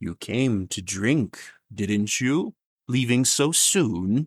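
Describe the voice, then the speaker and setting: A put-on character voice moves with lively intonation at a very slow pace. The sound is dry and close, with no echo. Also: man, medium pitch for a man. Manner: sardonic, taunting.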